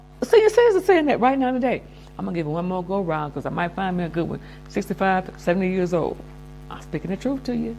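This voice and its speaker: Speaking at a very fast pace, a woman uses an animated tone against noticeable background noise. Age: 70s. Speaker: lifestyle vlogger. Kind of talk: casual monologue advice.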